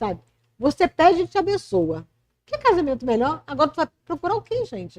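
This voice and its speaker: Talking at a fairly quick pace with a high pitch, a woman sounds animated, her pitch swinging very widely and her loudness shifting a lot, in a dry, close sound with no echo. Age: 60s. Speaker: author and volunteer. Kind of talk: podcast interview. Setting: bistro podcast recording.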